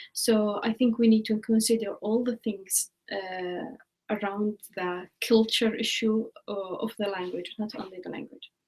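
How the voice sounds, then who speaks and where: Speaking in an Arabic accent, a woman talks fairly slowly in a fairly high, somewhat breathy voice with fairly even intonation. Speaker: educator. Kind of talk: live online Q&A discussion. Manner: halting.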